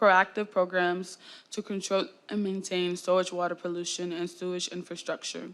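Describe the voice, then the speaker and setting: A woman speaks fairly quickly in a normal speaking voice, keeping a medium pitch and fairly even intonation. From Florida. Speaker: student. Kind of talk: student presentation.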